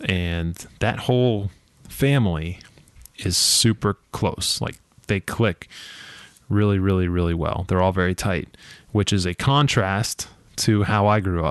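A man with an American accent speaks at a fairly slow pace with a fairly low pitch and ordinary pitch variation. Long, frequent pauses break up his speech, and the sound is dry and close with no echo. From Ohio, then Massachusetts from age 11. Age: 30s. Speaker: podcast host. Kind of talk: solo podcast monologue.

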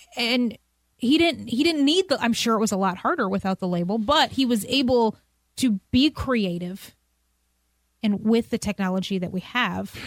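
In a plain, everyday voice, a woman speaks at a moderate pace and a fairly high pitch with lively intonation. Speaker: podcast host. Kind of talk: interview conversation, casual. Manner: warm, upbeat, laughs often.

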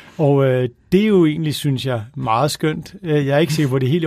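A man's dark, mellow voice, fairly high in pitch, at a moderate pace with ordinary pitch variation. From Copenhagen, Denmark. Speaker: author. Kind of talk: casual chat. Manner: halting.

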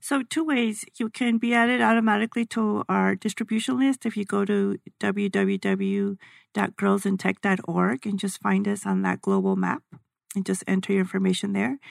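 A woman talks in an American accent at a moderate pace. The recording is very clean with a silent background and a dry, close sound with no echo. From El Paso, Texas. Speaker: former engineer, teacher, nonprofit director. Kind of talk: casual interview. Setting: radio studio.

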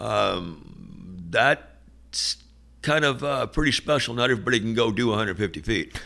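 Speaking with an American accent, a man has a medium pitch and a bright, sharp tone. Vocal fry runs through his voice. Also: lively intonation, moderate pace. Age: 60s. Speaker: two-way radio business owner. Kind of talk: casual interview.

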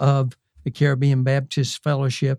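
A man's dark, mellow, fairly high voice with a Southern US accent, recorded dry and close with no echo. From US South, South Carolina. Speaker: retired missionary. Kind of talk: interview testimony.

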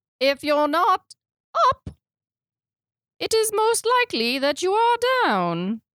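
In a squeaky, put-on character voice of extremely high pitch, the speaker moves at a fairly slow pace with long, frequent pauses and very wide pitch swings. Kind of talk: odd, playful comedic delivery.

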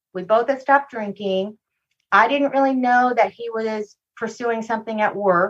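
Speaking in a normal speaking voice, a woman with a fairly high pitch keeps a moderate pace and fairly even intonation. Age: 50s. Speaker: abuse survivor and speaker. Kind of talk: interview testimony.

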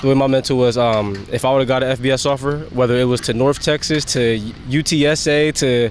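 Over noticeable background noise, a man with an American accent talks at a fairly quick pace, with a medium pitch and fairly even intonation. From Pennsylvania, Harrisburg area. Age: 20s. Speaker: pro football running back. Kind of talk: interview.

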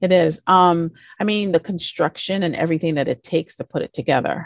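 Against a quiet background, a plain, everyday voice with ordinary pitch variation sounds dry and close with no echo. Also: woman. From US Virgin Islands. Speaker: interior designer. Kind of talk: casual interview chat.

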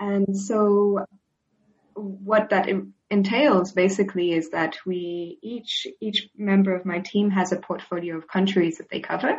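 At a fairly slow pace, a woman speaks in a somewhat breathy voice at a medium pitch with fairly even intonation. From Switzerland. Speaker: data analyst on displacement. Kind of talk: interview.

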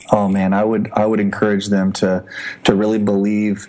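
Moderate-paced speech in an American accent over noticeable background noise. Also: man. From US Midwest, Indianapolis. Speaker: missionary trainer. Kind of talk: interview. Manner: hesitant with many fillers.

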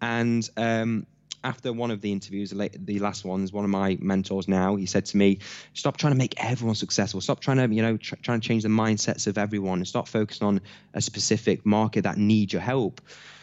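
A man with an East Midlands accent talks at fairly low pitch and a fairly quick pace, with fairly even intonation. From Nottingham, England (Hucknall). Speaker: entrepreneur and business coach. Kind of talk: interview.

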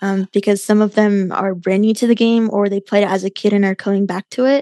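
A woman in a normal speaking voice talks at a medium pitch and moderate pace with fairly even intonation, dry and close with no echo over a quiet background. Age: 20s. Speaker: chess streamer and podcaster. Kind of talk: casual interview chat.

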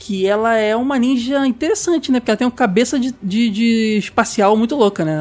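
Hardly any pauses break up the speech. Its pace is very fast. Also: man. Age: 30s. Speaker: podcast host. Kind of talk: casual chat.

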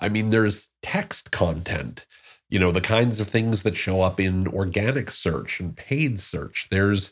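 Fairly low and somewhat breathy, a man's voice moves at a fairly slow pace on a very clean recording with a silent background. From Newark, New Jersey. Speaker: podcast host. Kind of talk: solo podcast monologue.

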